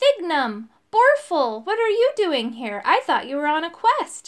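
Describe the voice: Using a put-on character voice, a woman speaks at an extremely high pitch with big pitch swings. Her pace is fairly slow.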